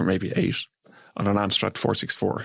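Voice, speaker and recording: This man's voice sits fairly low and carries vocal fry. The sound is dry and close, with no echo. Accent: Irish. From Ireland. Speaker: software engineering executive. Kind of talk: radio interview.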